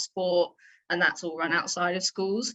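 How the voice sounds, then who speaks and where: The voice carries a southern English accent. Its tone is bright and sharp. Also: woman. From England, near London. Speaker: PE teacher and athletics director. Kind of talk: interview.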